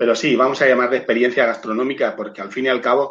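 Here is an ordinary speaking voice. The intonation stays fairly even. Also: man. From Spain, Murcia. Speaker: hospitality trainer and sommelier. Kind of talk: video call interview. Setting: remote video call from home.

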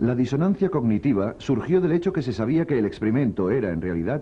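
Talking at a very fast pace, a man with a medium pitch shows vocal fry and very wide pitch swings. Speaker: documentary narrator. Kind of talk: scripted documentary narration. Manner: formal, measured.

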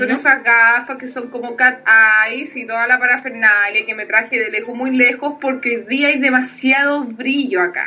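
A high-pitched woman with a Chilean accent, at a moderate pace, her intonation fairly even but with big swings in loudness. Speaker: podcast co-host. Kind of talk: casual chat.

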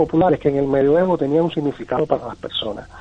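A man's voice with ordinary pitch variation, music playing in the background. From Cuba. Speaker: tarot teacher and singer-songwriter. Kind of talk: interview. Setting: phone call.

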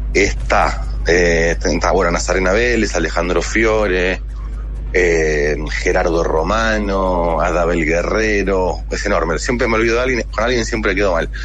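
There's audible room echo and noticeable background noise as a man talks at a fairly slow pace with very even loudness. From Buenos Aires, Argentina. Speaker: actor and film director. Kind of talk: radio interview.

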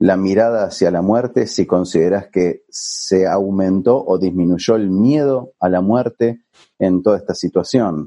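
In a Rioplatense accent, a man with a fairly low pitch and a dark, mellow tone speaks at a very slow pace against a quiet background. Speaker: podcast host. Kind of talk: casual interview. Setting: remote recording from home.

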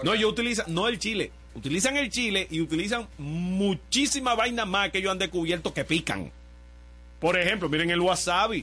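A man projects his raised voice at a high pitch with ordinary pitch variation. He keeps a moderate pace and very even loudness. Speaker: radio host. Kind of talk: casual chat. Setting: radio studio.

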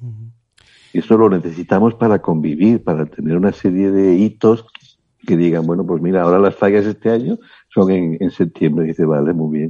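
Very deep and low, this man's voice has a dark, mellow tone. He moves at a fairly quick pace with ordinary pitch variation. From Spain, León. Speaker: body therapist and author. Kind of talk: interview.

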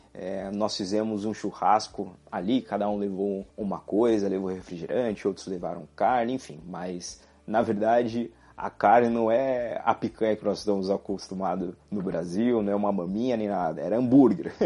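A man with a fairly low pitch and a dark, mellow tone speaks at a moderate pace with fairly even intonation and hardly any pauses. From Brazil. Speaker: podcast host. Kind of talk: solo monologue podcast.

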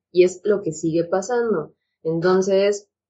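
With a normal speaking voice, a woman talks at a medium pitch with fairly even intonation. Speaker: psychiatrist. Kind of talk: casual chat.

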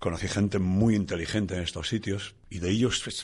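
At a moderate pace and with fairly even intonation, a man speaks against a quiet background. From Asturias, northern Spain. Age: 60s. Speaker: rock musician. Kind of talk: testimony.

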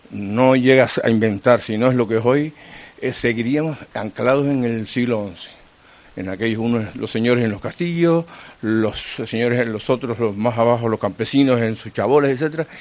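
Noticeable background noise sits behind a man speaking at a medium pitch. He talks at a moderate pace with ordinary pitch variation. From Canary Islands (Teror, Gran Canaria). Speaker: retired radio journalist. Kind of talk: casual interview.

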